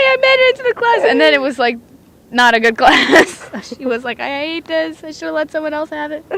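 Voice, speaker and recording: A woman talks at a fairly quick pace in a high voice with very wide pitch swings. Noticeable background noise can be heard. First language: not English. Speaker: podcast co-host. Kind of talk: casual chat. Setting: outdoors on a beach. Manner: animated.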